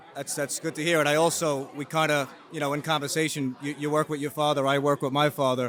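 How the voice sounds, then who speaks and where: Monotone, flat delivery at a very fast pace over music in the background. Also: man, fairly high pitch for a man. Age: 30s. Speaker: mortgage broker and interview host. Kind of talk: casual interview. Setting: real estate expo.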